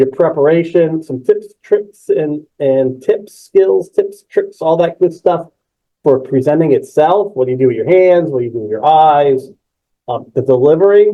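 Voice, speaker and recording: A man talks at a moderate pace with a fairly high pitch and ordinary pitch variation. It is a plain, everyday voice. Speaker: webinar presenter and trainer. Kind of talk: webinar presentation. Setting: virtual session, online webinar.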